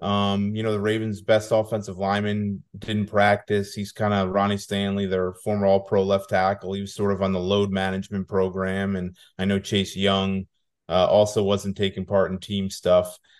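A man at a moderate pace and fairly low pitch, monotone, flat intonation, quiet background. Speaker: football beat reporter, guest. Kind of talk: casual interview chat.

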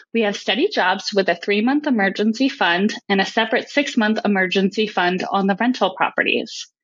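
Using an ordinary speaking voice, a woman talks at a fairly quick pace with ordinary pitch variation. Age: 30s. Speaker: caller, technical sales. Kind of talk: recorded voicemail question.

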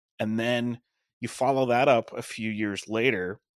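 A man with an American accent, a normal speaking voice and medium pitch, at a fairly slow pace with fairly even intonation, on a very clean recording with a silent background. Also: dry, close sound with no echo. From Long Island, New York (Suffolk County). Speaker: wrestling podcaster and former sportswriter. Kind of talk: casual chat.

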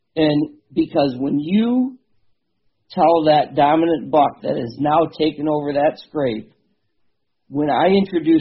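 A man with an American accent speaks at a fairly slow pace with ordinary pitch variation. It is a normal speaking voice, fairly high in pitch. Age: 50s. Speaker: bow hunter and habitat manager. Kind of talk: casual interview.

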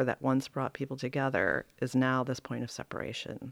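The sound is dry and close with no echo, on a very clean recording with a silent background, as a woman talks. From US, moved to Charlotte, North Carolina at ten. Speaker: visual artist. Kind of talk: interview. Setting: studio.

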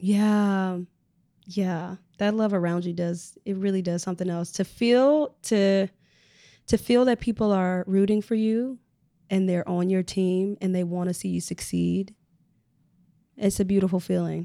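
On a very clean recording with a silent background, a woman speaks at a medium pitch with fairly even intonation. Her pace is fairly slow, with long, frequent pauses. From US Midwest, Chicago. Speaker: Broadway performer. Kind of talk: casual interview.

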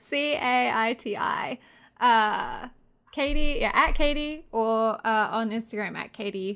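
A woman with an Australian accent, high in pitch, at a very slow pace with ordinary pitch variation, on a very clean recording with a silent background. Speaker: podcast guest, movie fan. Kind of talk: casual chat.

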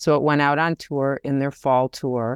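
A woman's very deep, low voice with an American accent, dry and close with no echo, against a quiet background. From US Midwest, Detroit, Michigan. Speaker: theater director and choreographer. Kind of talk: interview.

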